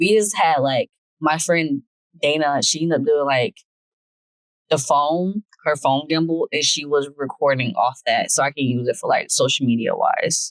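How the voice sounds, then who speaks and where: A woman's voice, very deep and low in pitch with ordinary pitch variation, holds very even loudness in a dry, close sound with no echo. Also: moderate pace. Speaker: vlogger, newlywed podcast co-host. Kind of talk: casual chat. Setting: recording out and about in a store.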